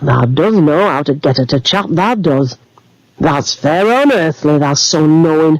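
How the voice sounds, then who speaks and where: Putting on a character voice in a Yorkshire accent, a man rumbles at a fairly high pitch and a moderate pace, his loudness very even. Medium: read story. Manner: grunting, grumbling.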